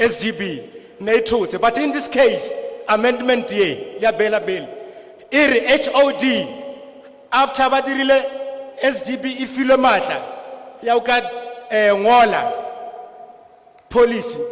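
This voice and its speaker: A man with an extremely high pitch and a Lesotho accent, ordinary pitch variation, a fairly slow pace and long, frequent pauses, against noticeable background noise. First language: Sesotho. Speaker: school governing body representative. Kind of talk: public hearing testimony. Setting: public hearing with translator.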